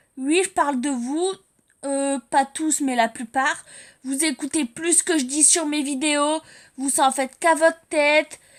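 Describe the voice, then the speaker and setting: Fairly slow and high-pitched, a woman speaks with fairly even intonation. The recording is very clean, with a silent background. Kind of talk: religious exhortation to viewers. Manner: loud when angry; unscripted, halting with fillers.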